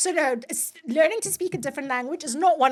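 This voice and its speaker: A woman talks at a fairly quick pace with lively intonation over noticeable background noise. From South Africa, KwaZulu-Natal. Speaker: podcast host, lawyer. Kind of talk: podcast interview.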